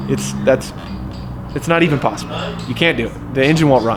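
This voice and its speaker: There is audible room echo and noticeable background noise as a man speaks with a fairly high pitch. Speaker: car builder and YouTube host. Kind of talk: casual garage vlog. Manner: loud.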